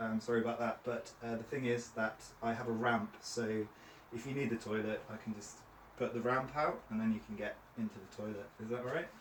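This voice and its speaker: Over noticeable background noise, a man speaks at a fairly quick pace. His medium-pitched voice stays flat and monotone. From Cornwall, England. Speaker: trainer. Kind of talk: training session.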